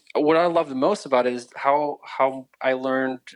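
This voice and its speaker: A man with an American accent is recorded in a dry, close space with no echo. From Ukraine, then East Tennessee from age 12. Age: 30s. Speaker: refugee telling his faith story. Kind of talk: interview testimony. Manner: halting, many restarts.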